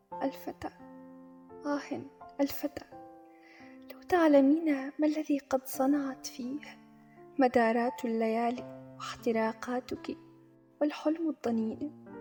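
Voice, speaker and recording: With music in the background, a woman with a high voice speaks very slowly, leaving long, frequent pauses, using ordinary pitch variation and big swings in loudness. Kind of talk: poetry reading.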